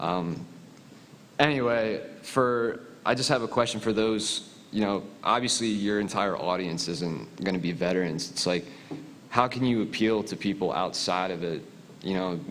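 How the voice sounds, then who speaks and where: In a Philadelphia accent, a man speaks at a moderate pace with a fairly low pitch, ordinary pitch variation, and audible room echo. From US Northeast (Philadelphia). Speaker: military veteran, audience questioner. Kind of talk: audience question at panel.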